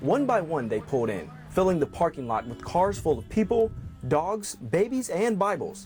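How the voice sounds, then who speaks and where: Against music in the background, a man speaks at a moderate pace with very wide pitch swings. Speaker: TV news reporter. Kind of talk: TV news report.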